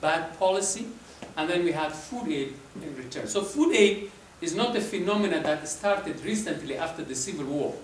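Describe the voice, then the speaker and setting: Light background noise and audible room echo surround a man speaking in a high voice. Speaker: presenter. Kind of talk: lecture. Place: hall.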